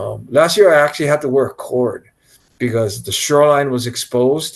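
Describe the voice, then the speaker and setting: In a Hawaiian accent, a man talks at a moderate pace. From Hawaii, Kaneohe. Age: 60s. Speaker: big wave surfer. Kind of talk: interview.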